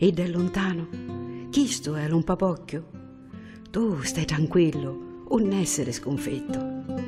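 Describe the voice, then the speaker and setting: This woman's voice is very deep and low in pitch. She talks at a very slow pace over music in the background. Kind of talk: poetry reading.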